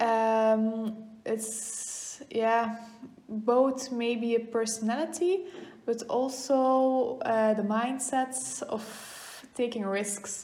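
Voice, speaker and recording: In a Flemish accent, a woman speaks at a very slow pace with a fairly high pitch, a dark, mellow tone, ordinary pitch variation and audible room echo. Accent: Flemish Dutch accent in English. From Belgium, East Flanders (Oudenaarde). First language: Dutch (Flemish). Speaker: goldsmith and distiller. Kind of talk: casual interview chat. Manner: hesitant, many fillers.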